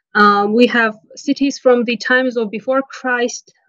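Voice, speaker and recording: With an Armenian accent, a woman speaks in a fairly high voice with monotone, flat intonation. The sound is dry and close, with no echo. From Nagorno-Karabakh (Artsakh). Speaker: interview guest, local resident. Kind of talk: interview. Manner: halting, many fillers and self-corrections.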